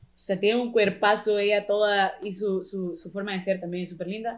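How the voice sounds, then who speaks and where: A woman talks at a moderate pace with hardly any pauses in an unremarkable speaking voice at medium pitch. Her intonation stays fairly even while her loudness swings widely. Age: 20s. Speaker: professional dancer and dance teacher. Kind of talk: casual chat.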